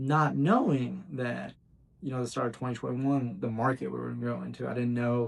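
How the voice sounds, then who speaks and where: A man's medium-pitched voice rushes along at a very fast pace. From Bowling Green, Kentucky (US South). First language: Bosnian. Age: 20s. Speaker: real estate agent. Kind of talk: casual unscripted talk to camera.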